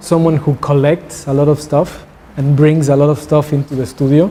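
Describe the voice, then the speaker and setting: A man speaks with a Spanish accent at a fairly high pitch. His intonation is monotone and flat, with noticeable background noise. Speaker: visiting artist. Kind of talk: artist talk Q&A. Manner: halting, with repeated words.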